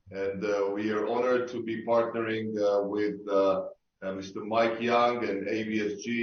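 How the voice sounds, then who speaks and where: A man with an Israeli accent and a fairly low voice speaks at a fairly slow pace in a monotone, flat way, with audible room echo. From Israel, Tel Aviv. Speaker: sports tech investor. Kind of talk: online panel discussion. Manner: halting, many fillers.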